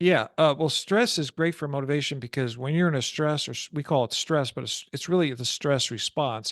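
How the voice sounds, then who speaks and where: With an American accent and a plain, everyday voice, a man talks at a fairly quick pace and a fairly high pitch, with ordinary pitch variation, in a dry, close sound with no echo over a quiet background. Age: 60s. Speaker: stress prevention coach. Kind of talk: interview.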